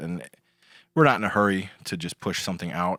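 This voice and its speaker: A man with a Chicago accent speaks very deep and low in a bright, sharp tone at a fairly quick pace. The recording is very clean with a silent background and a dry, close sound with no echo. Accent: Chicago American. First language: Lithuanian. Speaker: songwriter and guitarist, high school dean. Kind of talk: casual chat.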